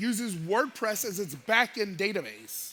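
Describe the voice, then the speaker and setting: Speaking at a fairly slow pace, a man with an American accent uses a raised, projected voice that is high-pitched, bright, sharp and animated. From United States. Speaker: cybersecurity expert. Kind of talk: conference talk, conversational. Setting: stage with audience.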